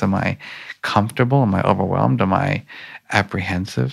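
A man with an American accent speaks at a fairly quick pace with vocal fry. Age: 50s. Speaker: emotional intelligence researcher. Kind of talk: interview. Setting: conference.

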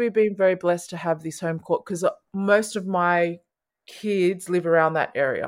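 A woman speaks with an Australian accent in a very clean recording against a silent background. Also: medium pitch for a woman, fairly even intonation, moderate pace. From Sydney, Australia. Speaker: basketball community program founder. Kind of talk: interview chat.

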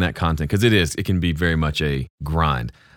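A man with a Southern US accent at a fairly quick pace, in a very clean recording with a silent background. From US South, Mississippi. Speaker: YouTube audio creator and mix engineer. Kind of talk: interview conversation.

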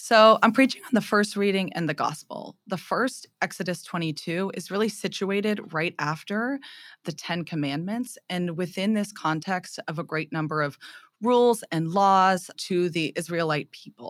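On a very clean recording with a silent background, a woman talks in an unremarkable speaking voice. Her medium pitch shows ordinary variation at a moderate pace. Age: 20s. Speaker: theology graduate and retreat leader. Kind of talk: casual interview; preaching a homily.

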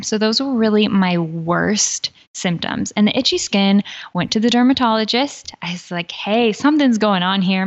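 A woman with an unremarkable speaking voice, medium pitch, and ordinary pitch variation. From United States. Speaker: health coach. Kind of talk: interview.

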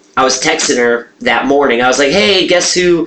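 A man's moderately paced speech comes over noticeable background noise. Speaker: podcast co-host. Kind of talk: casual comedic banter. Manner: animated, profane.

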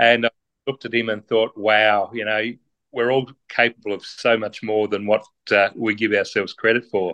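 In an Australian accent, a man talks at a moderate pace with a fairly low pitch and a monotone, flat intonation. His tone is bright and sharp, and the sound is dry and close with no echo. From Tasmania, Australia. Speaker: amateur ultra trail runner, senior administrator. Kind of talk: interview. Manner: halting.

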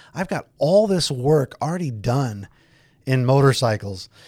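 A medium-pitched man's voice with a Californian accent and lively intonation on a very clean recording with a silent background. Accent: Californian American. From US, Southern California (San Fernando Valley). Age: 50s. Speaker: police detective. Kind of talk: casual interview conversation. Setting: studio with headphones.

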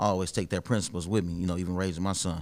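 In an American accent, a man with a very deep, low voice talks at a very fast pace on a very clean recording with a silent background. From Dayton, Ohio. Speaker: real estate wholesaler. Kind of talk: casual interview.

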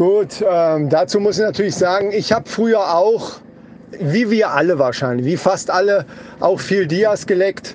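There is noticeable background noise as a man speaks at a fairly slow pace. His pitch is high and his loudness very even. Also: ordinary pitch variation. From northern German coast. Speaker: podcast co-host. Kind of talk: casual chat.

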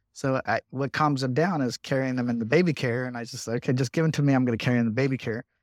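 A man with a normal speaking voice, medium in pitch and fairly even in intonation, dry and close with no echo, on a very clean recording with a silent background. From Southern California (Riverside). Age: 40s. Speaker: congressman. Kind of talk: interview.

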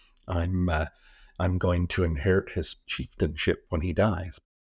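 In a Western Canadian accent, a man with a very deep, low voice sounds somewhat breathy, recorded very cleanly against a silent background with a dry, close sound and no echo. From Canada, British Columbia West Coast. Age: 60s. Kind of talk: interview conversation. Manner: halting.

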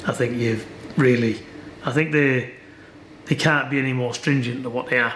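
Fairly even intonation and long, frequent pauses come through audible room echo and noticeable background noise. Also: man, medium pitch for a man, moderate pace. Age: 50s. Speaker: boxing trainer. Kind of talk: interview.

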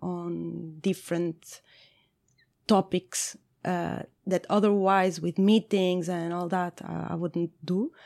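A woman with a fairly low pitch speaks in a monotone, flat way, recorded very cleanly, dry and close with no echo, over a silent background. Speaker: head of product. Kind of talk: interview. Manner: halting.

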